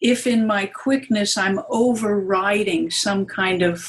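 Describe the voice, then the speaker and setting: A woman's fairly high, somewhat breathy voice, with ordinary pitch variation and a very slow pace. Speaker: Gestalt therapist and psychoanalyst. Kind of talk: interview. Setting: conference.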